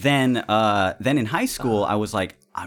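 An American accent with ordinary pitch variation, in a very clean recording with a silent background. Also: man. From California. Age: 30s. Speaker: musician, podcast guest. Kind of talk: casual chat.

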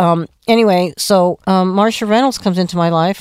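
A woman with a plain, everyday voice and an American accent, fairly low-pitched, with ordinary pitch variation and a fairly quick pace, on a very clean recording with a silent background. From Phoenix, Arizona. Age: 60s. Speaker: music promoter. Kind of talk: interview. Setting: studio.

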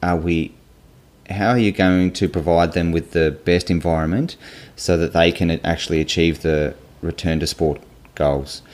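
This man speaks with an Australian accent in a very deep, low voice. His pace is fairly slow and his intonation fairly even. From Tasmania, Australia (Hobart). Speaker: physiotherapist and PhD researcher. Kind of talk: interview.

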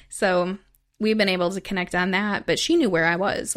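In a very clean recording with a silent background, a woman with an ordinary speaking voice and an American accent talks at a medium pitch with fairly even intonation. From US Midwest, southern Wisconsin (Madison). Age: 20s. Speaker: former gang member and trafficking survivor, author. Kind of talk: testimony.

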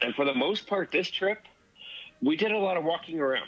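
Here is a man with an American accent. He talks at a moderate pace. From Southern California (La Mirada). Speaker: podcast listener sharing a trip report. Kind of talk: casual chat.

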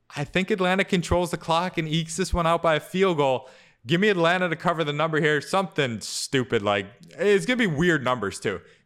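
In a very clean recording with a silent background, a man speaks at a fairly quick pace. His voice is high, with lively intonation. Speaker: fantasy football analyst co-host. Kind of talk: casual sports podcast chat.

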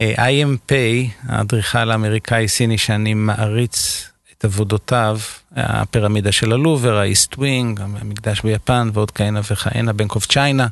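In a normal speaking voice, a man talks at a moderate pace with very even loudness and fairly even intonation. His pitch is fairly low, and the sound is dry and close with no echo. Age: 50s. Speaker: architect. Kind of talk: casual chat.

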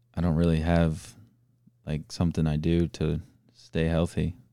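On a very clean recording with a silent background, a man with an American accent speaks at a moderate pace in a very deep, low, monotone, flat voice. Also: long, frequent pauses, big swings in loudness. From Florida, US. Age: 20s. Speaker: professional soccer player. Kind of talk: interview.

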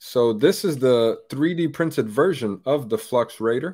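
This man has an ordinary speaking voice, medium in pitch with ordinary pitch variation, and he talks at a fairly slow pace on a very clean recording with a silent background. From Brazil, moved to US at eight. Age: 30s. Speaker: firearms YouTuber. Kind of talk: casual interview.

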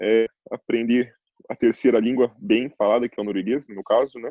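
With fairly even intonation and a medium pitch, a man talks at a moderate pace. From Curitiba, Brazil. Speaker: fashion model. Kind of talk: casual chat.

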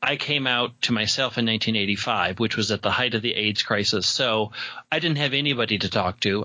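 Speaking at a moderate pace, a man uses a normal speaking voice at a medium pitch. His loudness stays very even, with ordinary pitch variation. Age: 40s. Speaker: podcaster and game master. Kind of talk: casual interview chat.

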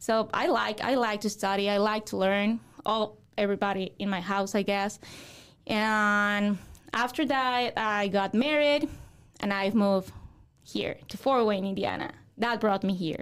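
A woman with a Mexican accent speaks at a fairly slow pace. The recording is very clean, with a silent background. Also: medium pitch for a woman, ordinary pitch variation. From Mexico. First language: Spanish. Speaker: real estate broker. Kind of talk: interview.

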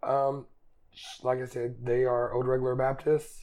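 With an Appalachian accent, a man speaks at a fairly slow pace. The tone is dark and mellow. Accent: Appalachian Southern US. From Eastern Kentucky, US. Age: 20s. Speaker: student. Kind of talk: casual interview.

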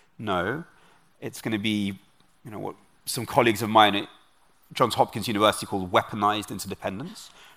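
Speaking very fast with a London accent, a bright, sharp tone and fairly even intonation, the speaker leaves long, frequent pauses and swings widely in loudness on a very clean recording with a silent background. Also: man. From London, England. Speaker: author and researcher. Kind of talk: interview. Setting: stage with audience.

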